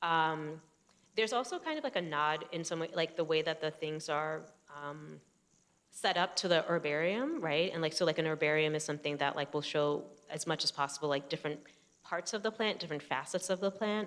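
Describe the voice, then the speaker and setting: A woman with a New Jersey accent talks at a fairly quick pace, her pitch very deep and low, with ordinary pitch variation. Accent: New Jersey American. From US, New Jersey. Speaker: photographer. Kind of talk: public conversation. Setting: stage with audience. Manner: halting, many fillers.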